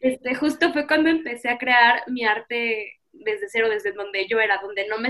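Hers is a plain, everyday voice, fairly high in pitch for a woman, with ordinary pitch variation at a moderate pace. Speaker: artist and student. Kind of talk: interview. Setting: video call.

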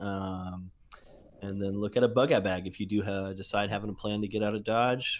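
A man with an unremarkable speaking voice, fairly low-pitched, at a fairly quick pace. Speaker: guest on call. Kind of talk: casual chat. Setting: group call.

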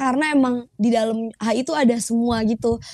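Dry and close with no echo, a woman's voice has a dark, mellow tone and flat, monotone intonation. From Indonesia, Jakarta. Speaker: fresh graduate in international relations. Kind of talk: casual chat.

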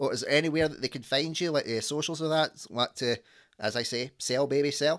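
Here a man talks in a Scottish accent with a fairly high pitch at a fairly quick pace. The recording is very clean, with a silent background. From Scotland. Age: 30s. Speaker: podcast host. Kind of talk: casual chat. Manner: animated.

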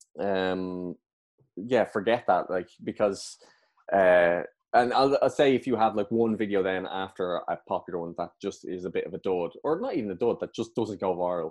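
A man with an Irish accent, speaking at a moderate pace with ordinary pitch variation. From Ireland. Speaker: comedian and actor. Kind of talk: casual chat.

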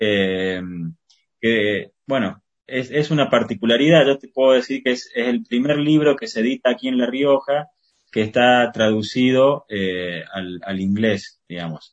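Speaking at a fairly slow pace, a man shows big swings in loudness and ordinary pitch variation. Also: medium pitch for a man. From Argentina, Córdoba. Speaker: poet and journalist. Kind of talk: interview. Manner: halting, many fillers and repetitions.

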